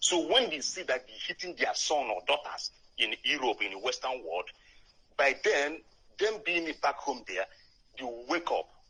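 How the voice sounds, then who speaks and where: A man's fairly high pitch takes very wide swings, his tone bright and sharp with vocal fry. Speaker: caller. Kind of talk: live call-in question. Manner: halting.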